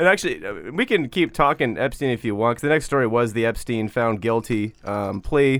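A normal speaking voice with an American accent, ordinary pitch variation, a fairly quick pace and hardly any pauses. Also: man, medium pitch for a man. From Washington state, US. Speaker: podcast host. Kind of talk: casual chat.

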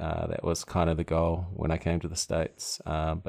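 A man with a slight New Zealand accent, very deep and low in pitch, in a flat monotone, on a very clean recording with a silent background. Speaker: brewery founder. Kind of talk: casual interview chat.

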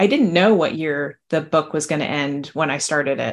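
With an American accent, a woman talks at a moderate pace in an ordinary speaking voice, her pitch varying in an ordinary way over a quiet background. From New Jersey. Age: 50s. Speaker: novelist. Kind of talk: interview.

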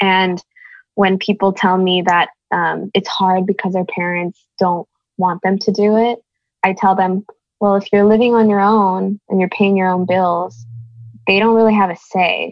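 A woman with an ordinary speaking voice talks at a medium pitch and a fairly slow pace. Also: fairly even intonation. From born in Korea, raised in the US. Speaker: singer-songwriter. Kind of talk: interview.

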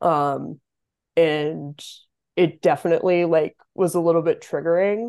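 Against a quiet background, a woman with an American accent speaks at a fairly slow pace and fairly low pitch, her dark, mellow tone carried by fairly even intonation. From Massachusetts, small town west of Boston. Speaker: college athlete. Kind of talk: interview. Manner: hesitant, many fillers.

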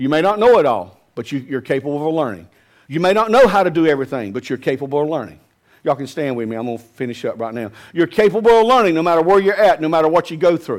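A man with a Southern US accent speaks very fast in a fairly high voice. His pitch swings very widely. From US South. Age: 50s. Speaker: pastor. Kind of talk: sermon. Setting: church.

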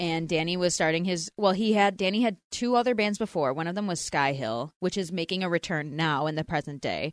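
A woman with an American accent and an unremarkable speaking voice talks at a fairly low pitch and fairly quick pace with hardly any pauses, the sound dry and close with no echo over a quiet background. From US Northeast, Philadelphia. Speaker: podcast co-host. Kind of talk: casual chat.

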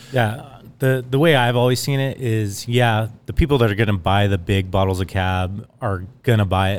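In an ordinary speaking voice, a man at medium pitch talks at a moderate pace with ordinary pitch variation and hardly any pauses. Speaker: winemaker. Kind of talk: casual chat. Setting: winery, in person.

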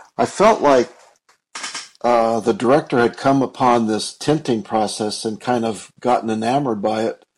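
This man speaks in a plain, everyday voice at a moderate rate, his medium pitch varying in an ordinary way. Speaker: movie podcast co-host. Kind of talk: casual chat reviewing a film.

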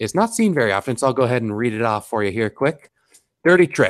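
With lively intonation, a man at medium pitch talks in an unremarkable speaking voice. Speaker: tabletop gaming podcast co-host. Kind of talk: casual chat.

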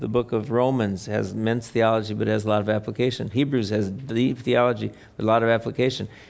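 A man talks at a very fast pace with an American accent. His pitch is fairly low and his intonation fairly even. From US Midwest, Wisconsin. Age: 60s. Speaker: theologian and author. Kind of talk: Q&A talk. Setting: stage with audience.

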